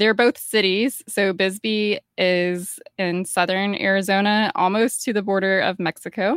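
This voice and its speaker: A woman with an American accent speaks at a fairly slow pace, at medium pitch, with hardly any pauses. She has a plain, everyday voice, with very even loudness and fairly even intonation. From US South, Georgia. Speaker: podcaster. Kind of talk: casual chat.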